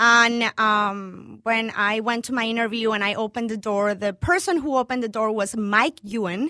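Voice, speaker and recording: A woman talks at a moderate pace with hardly any pauses, her voice fairly high with a bright, sharp tone. The recording is very clean, with a silent background. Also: ordinary pitch variation. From Venezuela, Caracas. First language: Spanish. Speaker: chef and restaurant owner. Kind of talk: interview.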